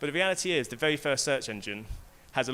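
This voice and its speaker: A man with a bright, sharp tone at a very fast pace. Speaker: tech company speaker. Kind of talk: keynote talk. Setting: stage with audience.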